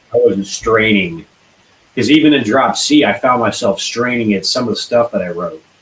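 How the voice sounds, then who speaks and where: A man's ordinary speaking voice at medium pitch, moderately paced with lively intonation. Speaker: band singer. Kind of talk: casual interview.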